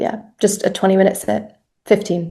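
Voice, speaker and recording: At a fairly slow pace, the voice has a dark, mellow tone, vocal fry and monotone, flat intonation. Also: woman. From California. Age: 30s. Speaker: entrepreneur, fashion brand founder. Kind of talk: interview.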